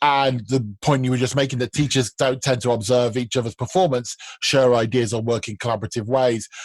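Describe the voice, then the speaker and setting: A man with an unremarkable speaking voice talks at a fairly quick pace and medium pitch, with hardly any pauses. His intonation is fairly even, and the sound is dry and close with no echo. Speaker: podcast host for language teachers. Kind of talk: casual chat.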